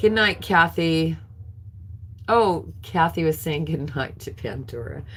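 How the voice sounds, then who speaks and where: Speaking with an American accent, a woman uses a very deep, low pitch with vocal fry and very wide pitch swings. Her very slow delivery has long, frequent pauses and big swings in loudness. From California. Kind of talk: live auction stream. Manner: slurring words.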